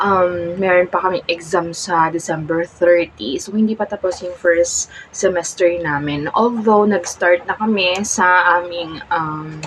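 Clearly audible background noise runs through the clip. Over it, a woman talks very slowly. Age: 20s. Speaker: vlogger. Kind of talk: casual vlog monologue. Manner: halting.

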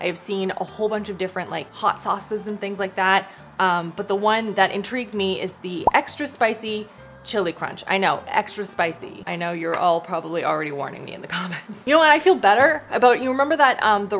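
Over music in the background, a woman talks at a fairly quick pace with lively intonation and big swings in loudness. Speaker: product review vlogger. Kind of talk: casual vlog chat. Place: kitchen.

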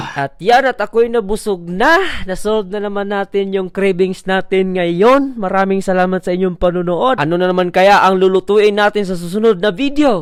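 Music plays in the background as the speaker goes at a moderate pace with hardly any pauses. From Visayas, Philippines. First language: Cebuano (speaking Tagalog). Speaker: cooking vlogger. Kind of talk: comedic cooking vlog narration. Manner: playful, joking.

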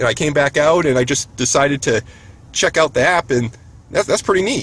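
Somewhat breathy and with ordinary pitch variation, a man's voice comes through dry, with no echo. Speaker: EV road trip vlogger. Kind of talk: casual vlog chat. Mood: upbeat, excited. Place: car. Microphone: camera far.

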